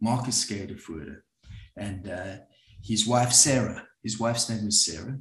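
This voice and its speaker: A man's fairly low voice shows ordinary pitch variation and big swings in loudness. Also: moderate pace. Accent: South African. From South Africa. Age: 60s. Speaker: psychologist and group facilitator. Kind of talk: talk to an audience. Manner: halting, with many fillers.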